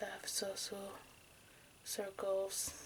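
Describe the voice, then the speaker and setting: Soft-spoken and at a very slow pace, a woman talks at a medium pitch. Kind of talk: true crime story reading.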